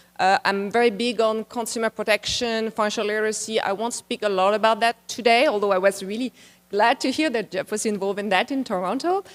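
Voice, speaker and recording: In a French accent, a woman talks at a very fast pace with fairly even intonation, the sound dry and close with no echo. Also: fairly high pitch for a woman. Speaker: international policy expert, conference speaker. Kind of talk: conference presentation. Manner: conversational, slightly halting.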